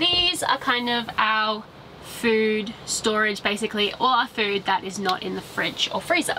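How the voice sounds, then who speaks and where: Background music is playing. Over it, a woman talks. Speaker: travel vlogger. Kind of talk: casual vlog chat. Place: car.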